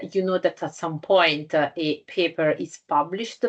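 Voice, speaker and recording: Speaking at a very slow pace with an Italian accent, a woman keeps her intonation fairly even. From Italy. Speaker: scientific journal editor. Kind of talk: lecture. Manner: halting, many fillers.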